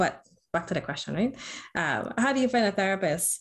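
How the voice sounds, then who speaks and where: A woman with an American accent and vocal fry, in a very clean recording with a silent background. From US Virgin Islands, St. Croix. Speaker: licensed professional counselor. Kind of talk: casual chat.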